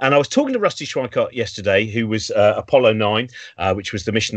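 A man with an English accent speaks against a quiet background. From England. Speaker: show host. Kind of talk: casual chat. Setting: video call. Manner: animated. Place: home room.

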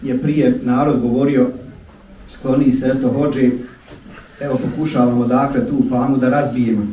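With monotone, flat intonation, a man speaks at a moderate pace and leaves long, frequent pauses, over light background noise and audible room echo. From Bosnia. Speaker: imam. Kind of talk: speech to a congregation. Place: church.

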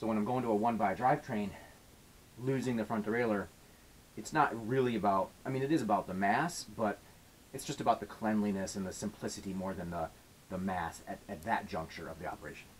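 In an unremarkable speaking voice, a man talks at a fairly quick pace with a fairly low pitch and ordinary pitch variation, over light background noise. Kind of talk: tutorial. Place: workshop. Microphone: camera far.

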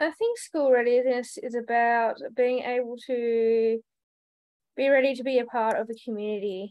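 Over a quiet background, a woman with an Australian accent speaks at a moderate pace with a high pitch and fairly even intonation. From Tasmania, Australia. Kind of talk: webinar panel. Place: home room. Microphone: video call.

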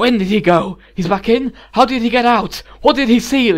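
A man in a put-on character voice speaks at a moderate pace, with an extremely high pitch and a hissing sound. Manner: demanding, almost hissing.

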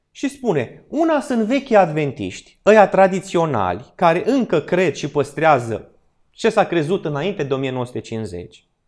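A high-pitched man speaks with very wide pitch swings against a quiet background. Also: fairly slow pace. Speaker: church Bible study teacher. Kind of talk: Bible study lecture in church. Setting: church hall with live audience. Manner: interactive, asks audience questions. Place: hall. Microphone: podium.

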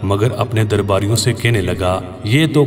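With music playing in the background, a man talks in a fairly low voice with ordinary pitch variation. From Azad Kashmir, Pakistan. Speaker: voice-over artist. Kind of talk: Islamic story narration.

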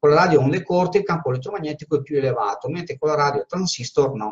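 A man speaks in a strong Venetian accent, his fairly high pitch showing ordinary variation. The background is quiet. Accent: strong Veneto Italian. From Veneto, Italy. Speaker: teacher and spiritual medium. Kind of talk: informal live talk with Q&A. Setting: Facebook live stream. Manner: informal, chatty. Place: office. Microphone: webcam.

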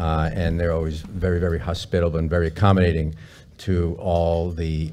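A man's very deep, low voice, dark and mellow in tone, moves at a moderate pace with monotone, flat intonation. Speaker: panel moderator. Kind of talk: event opening remarks. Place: meeting room. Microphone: headset.

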